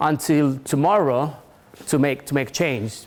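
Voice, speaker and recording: A fairly slow-paced man's voice in a non-native accent. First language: not English. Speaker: tech company industry manager, conference speaker. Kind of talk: conference talk. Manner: halting, many restarts.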